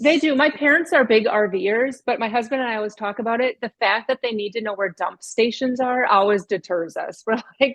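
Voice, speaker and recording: Speech in a Minnesotan accent moves at a fairly quick pace with hardly any pauses and ordinary pitch variation. The sound is dry and close, with no echo. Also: woman, fairly high pitch for a woman. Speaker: author and speaker. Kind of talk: casual chat.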